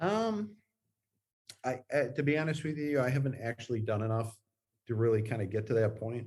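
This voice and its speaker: A man talks fairly quickly in a medium-pitched, somewhat breathy voice with lively intonation. He leaves long, frequent pauses. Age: 50s. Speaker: guest. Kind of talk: interview. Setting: video call. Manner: halting.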